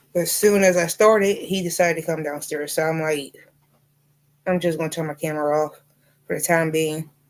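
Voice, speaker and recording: A woman with a slight Southern US accent, fairly low pitch and fairly even intonation, at a fairly quick pace broken by long, frequent pauses. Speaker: livestreamer and crocheter. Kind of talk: casual livestream chat. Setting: home livestream, camera off.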